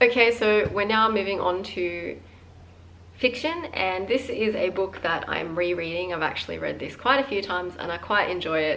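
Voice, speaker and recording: The voice has an Australian accent, and audible room echo surrounds it. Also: woman. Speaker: book vlogger. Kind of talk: casual chat. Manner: casual, many filler words.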